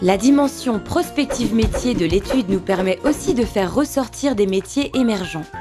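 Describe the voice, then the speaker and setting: With music in the background, a woman at medium pitch talks at a moderate pace with hardly any pauses, very even loudness and lively intonation. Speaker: voice actor. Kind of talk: corporate explainer narration.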